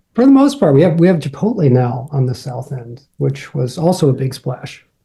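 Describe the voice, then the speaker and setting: At a moderate pace, a man speaks in a fairly high pitch with a dark, mellow tone, a somewhat breathy quality, and ordinary pitch variation. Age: 50s. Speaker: painter and gallery co-owner. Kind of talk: casual interview.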